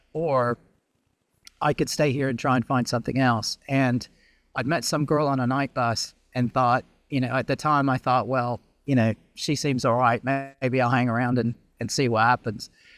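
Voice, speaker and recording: A man with an American accent speaks at a medium pitch and a moderate pace, in a flat monotone with very even loudness. Music plays in the background. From US South, Memphis. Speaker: startup founder in media and marketing. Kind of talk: podcast interview. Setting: outdoors, video call.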